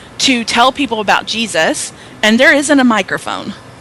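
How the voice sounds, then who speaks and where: A woman speaks at a moderate pace with a Southern US accent and ordinary pitch variation. Noticeable background noise runs behind her. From US South. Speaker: author and speaker. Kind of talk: interview. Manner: loud.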